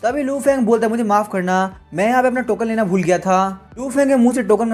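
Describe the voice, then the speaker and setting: A man with a high voice speaks with ordinary pitch variation while music plays in the background. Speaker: comic recap narrator. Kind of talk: story recap narration. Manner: casual, conversational.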